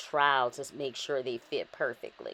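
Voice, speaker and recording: Speaking at a moderate pace, a woman with a New Orleans accent sounds upbeat. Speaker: cake decorator. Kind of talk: narrated craft tutorial. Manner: casual, upbeat.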